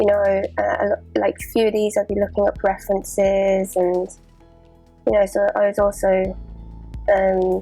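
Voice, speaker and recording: Music plays behind a woman who talks at a fairly slow pace. She leaves long, frequent pauses. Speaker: artist. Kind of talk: casual talk to camera.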